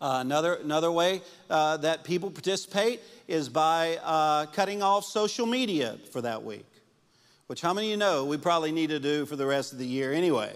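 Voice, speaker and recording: On a very clean recording with a silent background, a man with an ordinary speaking voice talks at a fairly quick pace, his fairly high pitch carrying lively intonation. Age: 50s. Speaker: pastor. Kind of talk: sermon. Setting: church with congregation.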